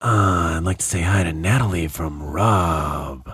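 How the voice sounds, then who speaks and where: A man uses a put-on character voice, raspy and very deep, with a sinister tone. He speaks at a fairly slow pace. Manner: creepy, sinister.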